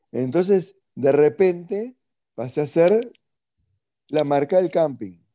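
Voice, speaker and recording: A man speaks very slowly with a Uruguayan accent, his tone dark and mellow and his pitch fairly high. His intonation is lively, broken by long, frequent pauses. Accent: Uruguayan Spanish (Rioplatense). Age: 40s. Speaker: entrepreneur. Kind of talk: interview.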